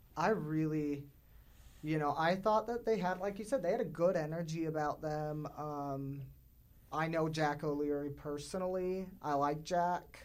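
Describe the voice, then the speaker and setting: This man has a plain, everyday voice, pitched fairly high, with ordinary pitch variation. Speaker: podcast producer and panelist. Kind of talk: panel discussion.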